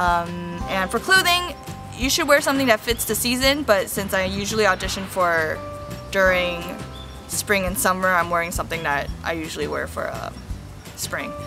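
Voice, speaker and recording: Music runs behind the recording. Over it, a woman's speech moves at a moderate pace. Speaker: voice actor who auditions in Japan. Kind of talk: casual talk to camera. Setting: outdoors, in a park. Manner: chatty, upbeat, explanatory.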